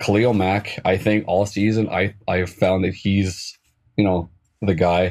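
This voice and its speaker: Speaking in a Canadian accent, a man delivers very deep, low-pitched speech at a fairly slow pace, his intonation monotone and flat and his loudness very even. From Canada, near Edmonton, Alberta. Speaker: fan guest. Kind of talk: casual interview.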